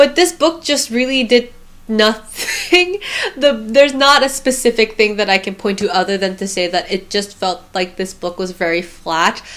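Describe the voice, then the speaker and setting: With noticeable background noise behind her, a woman talks at a moderate pace in a fairly high voice with lively intonation. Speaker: book reviewer. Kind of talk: casual book review monologue.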